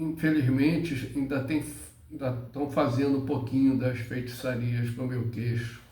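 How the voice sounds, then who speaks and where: Speaking very slowly in a flat monotone, a man with a medium-pitched, dark, mellow, somewhat breathy voice is heard with audible room echo. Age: 70s. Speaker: spiritual teacher. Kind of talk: spiritual monologue. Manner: halting.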